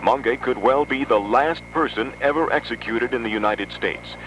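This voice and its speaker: Male speech with noticeable background noise, delivered at a moderate pace. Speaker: radio news announcer. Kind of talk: radio newscast delivery.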